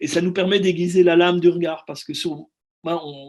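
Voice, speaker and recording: A man's high-pitched voice at a fairly quick pace. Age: 60s. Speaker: film director. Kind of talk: interview. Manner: halting, many repetitions.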